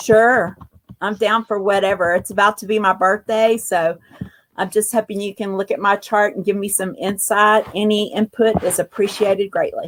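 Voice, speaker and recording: Fairly even intonation with a Southern US accent, in dry, close sound with no echo. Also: woman, medium pitch for a woman, moderate pace. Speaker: caller. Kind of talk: casual chat.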